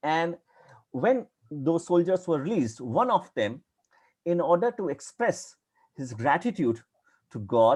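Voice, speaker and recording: In a strong Indian accent, a man with a high voice talks at a fairly slow pace, his pitch swinging very widely. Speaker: academic historian lecturer. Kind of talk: lecture.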